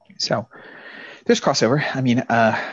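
A man with an American accent. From Texas (Brownwood). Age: 30s. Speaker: cartoonist and English teacher. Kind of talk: interview. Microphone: low bandwidth connection, camera off.

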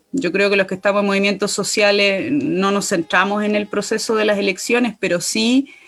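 A woman talks quite quickly with fairly even intonation, while noticeable background noise plays. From Chile, Aconcagua Valley. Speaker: constitutional convention candidate, environmental activist. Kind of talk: political interview.

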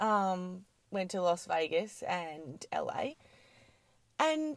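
With an Australian accent, a woman speaks in very wide pitch swings, leaving long, frequent pauses. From Australia, Adelaide Hills (South Australia). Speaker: gym owner and fitness trainer. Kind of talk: casual interview chat.

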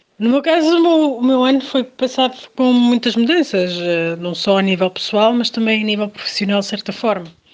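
With a plain, everyday voice, a woman speaks at a fairly high pitch and a moderate pace, her intonation lively and hardly any pauses between words. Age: young.

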